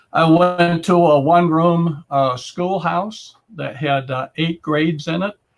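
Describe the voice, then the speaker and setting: A man's fairly slow speech in an Upper Midwest accent, with ordinary pitch variation. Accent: Upper Midwest American. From US Midwest, northern Wisconsin. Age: 70s. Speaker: entrepreneur. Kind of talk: interview. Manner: hesitant, many fillers.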